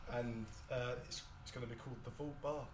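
Amid noticeable background noise, the speech moves along at a moderate pace. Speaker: audience member. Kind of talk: casual chat. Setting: stage with audience.

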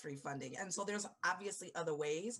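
A woman talks with lively intonation. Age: 30s. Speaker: education company founder. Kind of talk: casual chat.

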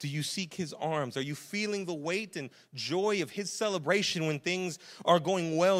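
A man's high-pitched voice, showing ordinary variation in pitch, keeps to a moderate speed. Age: 30s. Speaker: pastor. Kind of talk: sermon. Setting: church. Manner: casual, conversational.

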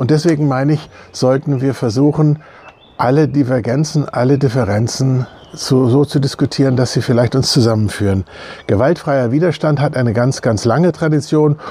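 A man at a medium pitch and a moderate pace, with ordinary pitch variation, very even loudness and noticeable background noise. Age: 60s. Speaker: church member. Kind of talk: video statement. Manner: hesitant with many fillers.

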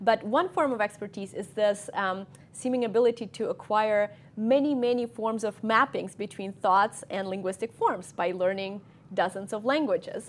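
A woman with a Russian accent speaks at a moderate pace, her fairly high voice showing ordinary pitch variation. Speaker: cognitive scientist. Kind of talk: lecture. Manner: halting.

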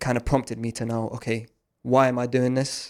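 This man talks at a fairly quick pace in a South London accent. His medium-pitched voice stays monotone and flat. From South East London. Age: 20s. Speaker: forex trading student. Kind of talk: casual interview. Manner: hesitant, many fillers.

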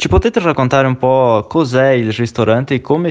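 The speaker is a man with a medium-pitched voice. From outside Italy. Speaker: radio show host. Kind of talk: interview. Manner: hesitant, with fillers.

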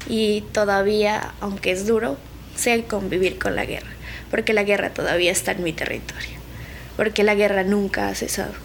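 This woman has an ordinary speaking voice, talking at a moderate pace with fairly even intonation. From Colombia, Nariño. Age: 20s. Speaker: conflict survivor, student. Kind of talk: testimony.

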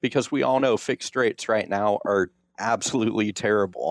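A plain, everyday voice at a moderate pace, fairly even intonation, in a dry, close sound with no echo against a quiet background. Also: man. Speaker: financial advisor. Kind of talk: radio interview explaining financial topics.

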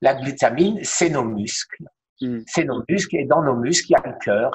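A somewhat breathy male voice at a moderate pace, with lively intonation. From France, Alsace (Strasbourg). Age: 60s. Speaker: cancer survivor sharing his story. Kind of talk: testimony in interview.

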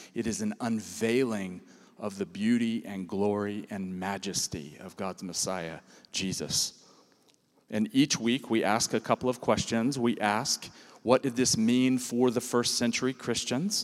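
On a very clean recording with a silent background, a man speaks in an ordinary speaking voice at a medium pitch, with ordinary pitch variation and a fairly slow pace. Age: 50s. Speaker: pastor. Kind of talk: sermon.

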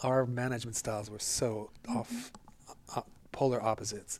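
A man with an American accent talks at a moderate pace. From northeast Pennsylvania. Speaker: retired dance professor and choreographer. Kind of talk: interview.

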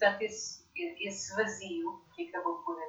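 Very wide pitch swings in a woman's somewhat breathy speech. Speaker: leadership coach and author. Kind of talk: interview.

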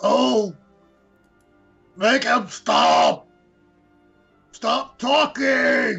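A man puts on a raspy character voice while faint music plays in the background. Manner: broken simple speech, pained.

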